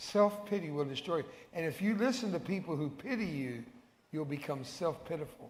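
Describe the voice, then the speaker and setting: A high-pitched man with a Texan accent, fairly quick and lively in intonation, with audible room echo. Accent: Texan American English. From Texas. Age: 70s. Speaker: evangelist. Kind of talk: sermon. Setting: church. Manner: animated.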